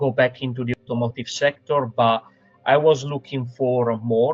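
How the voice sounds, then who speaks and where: Speaking at a fairly slow pace, a man with an Italian accent keeps a medium pitch and a monotone, flat intonation. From Italy. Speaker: sales professional. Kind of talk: interview. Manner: halting, many fillers.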